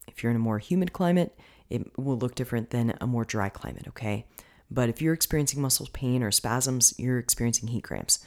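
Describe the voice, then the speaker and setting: The speaker is a woman with a very deep, low pitch. Her pitch variation is ordinary. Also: fairly quick pace. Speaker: fitness and nutrition coach, podcast host. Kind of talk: solo podcast monologue, educational talk. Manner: casual, chatty, laughs often.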